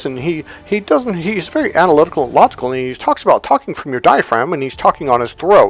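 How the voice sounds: Over background music, a put-on character voice with a guttural sound and a middle pitch races along at a very fast pace with hardly any pauses.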